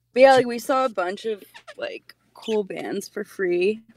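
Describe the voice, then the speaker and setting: This woman has an unremarkable speaking voice at a medium pitch, with ordinary pitch variation and a fairly slow pace. The sound is dry and close, with no echo. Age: 20s. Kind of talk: casual chat. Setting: video call.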